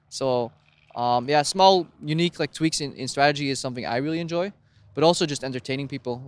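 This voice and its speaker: A man mumbles at a very fast pace in a fairly high pitch with ordinary pitch variation, recorded dry and close with no echo in a very clean take with a silent background. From Europe. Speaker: esports caster. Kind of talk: casual interview. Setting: esports studio. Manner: fast, mumbling.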